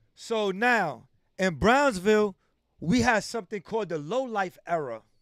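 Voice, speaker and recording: A man with a New York accent speaks at a high pitch and a fairly slow pace with lively intonation, in a dry, close sound with no echo on a very clean recording with a silent background. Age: 40s. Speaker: livestream host. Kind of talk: interview. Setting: livestream.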